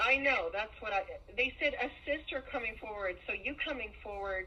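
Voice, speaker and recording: A woman with a high pitch speaks at a moderate pace with ordinary pitch variation over noticeable background noise. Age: 40s. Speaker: family member recounting abuse. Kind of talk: phone call with sister.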